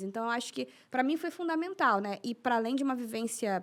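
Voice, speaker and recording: A woman talks at a fairly quick pace. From Rio de Janeiro. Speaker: racial equality activist and author. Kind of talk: podcast interview answer. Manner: calm.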